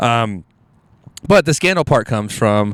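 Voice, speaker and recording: A man with an American accent speaks at medium pitch and a moderate pace. His tone is animated, and the recording is very clean with a silent background. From Houston, Texas (Alief). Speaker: comedian. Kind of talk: casual chat.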